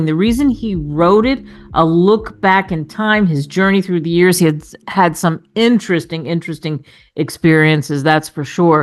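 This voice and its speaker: An unremarkable speaking voice from a woman, fairly low in pitch with ordinary pitch variation, at a moderate pace against a quiet background. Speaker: radio talk show host. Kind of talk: radio interview host. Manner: upbeat.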